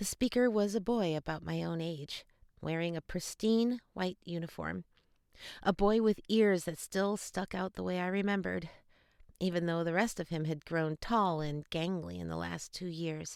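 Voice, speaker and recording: In a plain, everyday voice, the speaker talks at a moderate pace with ordinary pitch variation, captured in a very clean recording with a silent background and a dry, close sound with no echo. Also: woman, fairly low pitch for a woman. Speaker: audiobook narrator. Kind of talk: audiobook narration of a YA fantasy novel.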